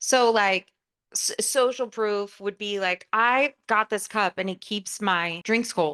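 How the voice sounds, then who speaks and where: A loud woman with a bright, sharp tone speaks at a very slow pace and medium pitch with ordinary pitch variation, in a dry, close sound with no echo against a quiet background. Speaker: podcast co-host. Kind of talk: casual chat. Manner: outspoken.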